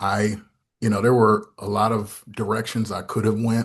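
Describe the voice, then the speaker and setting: A man with an American accent speaks at a moderate pace. His medium-pitched voice is somewhat breathy. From US Northeast, Syracuse, New York. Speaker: pastor and theology fellow. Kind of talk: podcast interview. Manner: halting, many repetitions.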